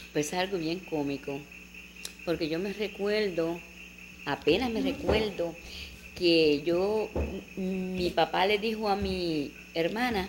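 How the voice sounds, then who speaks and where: Over noticeable background noise, a woman with a medium pitch speaks at a fairly slow pace, leaving long, frequent pauses. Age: 60s. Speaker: elderly woman recalling her life. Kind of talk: oral history interview. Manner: animated storytelling.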